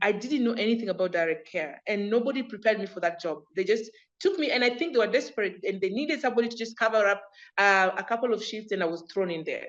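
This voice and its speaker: A woman with an American accent speaks in an animated tone at a very fast pace, her pitch varying in an ordinary way. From Kenya, Kakamega. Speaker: entrepreneur and community group founder. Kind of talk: interview.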